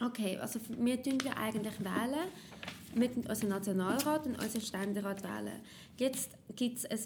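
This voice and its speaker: A woman speaks at a moderate pace with a fairly high pitch, a somewhat breathy quality and ordinary pitch variation. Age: 20s. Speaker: party youth activist. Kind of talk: tutorial.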